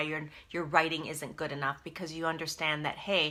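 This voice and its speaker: A woman's animated voice, bright and sharp in tone. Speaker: author and fiction book coach. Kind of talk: tutorial.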